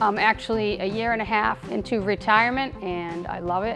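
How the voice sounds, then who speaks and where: With ordinary pitch variation, a woman speaks while music plays in the background. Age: 60s. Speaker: retired postal worker with Parkinson's. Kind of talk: personal testimony interview.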